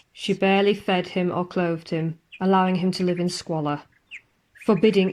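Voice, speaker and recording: The recording is very clean with a silent background, and the woman's medium-pitched voice is an ordinary speaking voice with fairly even intonation. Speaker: ghost story narrator. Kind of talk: ghost story narration.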